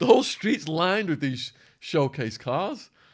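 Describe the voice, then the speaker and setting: A man with an English accent, animated in tone, with very wide pitch swings. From England. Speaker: former stockbroker and ex-prisoner, author. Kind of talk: podcast interview storytelling.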